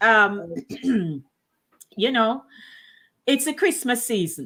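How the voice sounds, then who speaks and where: Fairly high in pitch, a woman speaks with a bright, sharp tone at a very slow pace. The recording is very clean with a silent background. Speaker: radio and talk show host. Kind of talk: casual live talk show conversation.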